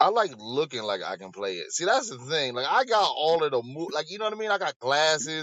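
A man talks at a fairly quick pace. He has an unremarkable speaking voice with a fairly high pitch. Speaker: comedian. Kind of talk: casual chat.

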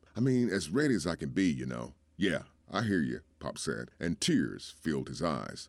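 Over a very clean recording with a silent background, a man with vocal fry speaks at a moderate pace, his pitch swinging very widely. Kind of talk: performed poem and dramatic allegory reading, storytelling.

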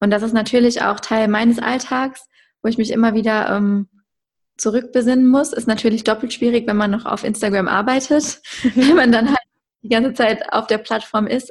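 With a fairly high pitch and fairly even intonation, a woman speaks at a moderate pace in an ordinary speaking voice. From Germany, Westerwald. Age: 20s. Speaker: content creator and entrepreneur. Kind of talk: podcast interview.

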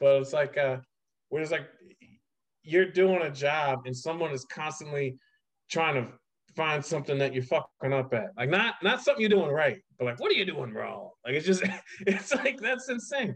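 Using an ordinary speaking voice with an American accent, a man talks at a moderate pace with fairly high pitch and lively intonation. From Ohio. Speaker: podcast host and teacher. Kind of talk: casual chat.

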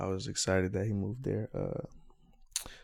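A man's very deep, low voice with an American accent, dark and mellow in tone, on a very clean recording with a silent background. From West Virginia (Charleston). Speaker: podcast co-host, former football player. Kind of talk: casual chat; promotional outro.

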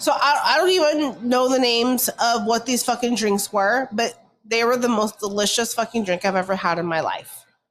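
A woman with an American accent has a plain, everyday voice and a fairly high pitch with ordinary pitch variation. She talks at a moderate pace with hardly any pauses. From California. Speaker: podcast co-host. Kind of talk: casual chat.

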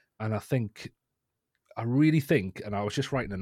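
A man with a northeast English accent, fairly low in pitch and moderate in pace, in a dry, close sound with no echo on a very clean recording with a silent background. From northeast England. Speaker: education technology lead and guest. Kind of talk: interview discussion. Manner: hesitant, repeats words.

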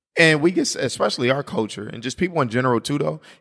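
A man speaks in a bright, sharp, animated tone. His intonation is lively. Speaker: podcast host. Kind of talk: casual chat.

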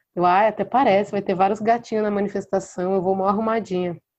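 A woman speaks in a dark, mellow tone with fairly even intonation. The background is quiet. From interior of São Paulo state, Brazil (Mococa). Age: 20s. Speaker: singer-songwriter. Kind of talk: casual interview chat.

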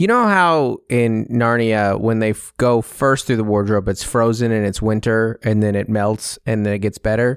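With an unremarkable speaking voice, a man talks at medium pitch and a moderate pace, hardly any pauses, very even loudness and fairly even intonation, in a very clean recording with a silent background. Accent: American. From Seattle, US Pacific Northwest. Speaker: comedian. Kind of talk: casual chat. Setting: studio.

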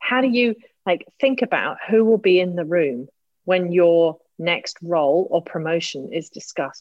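With a British accent, a woman speaks at a fairly low pitch and moderate pace, her intonation lively. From Britain. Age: 50s. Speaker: executive coach. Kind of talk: casual chat. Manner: animated.

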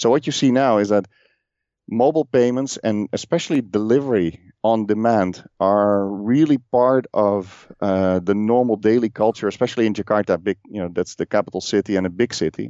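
The speaker has a Dutch accent. The pitch varies in an ordinary way. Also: man, fairly low pitch for a man, moderate pace. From Netherlands. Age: 40s. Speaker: podcast host and telecom professional. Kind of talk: casual interview. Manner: halting, many fillers.

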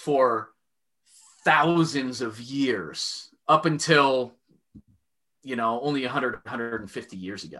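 The man's intonation is lively. He speaks at a fairly slow pace. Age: 30s. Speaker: business owner and father, historical fencer. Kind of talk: casual interview chat.

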